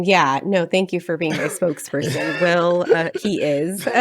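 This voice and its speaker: The speaker is a woman. She talks at a fairly slow pace. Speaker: podcast co-host and business owner. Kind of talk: casual chat. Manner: sarcastic-sounding delivery.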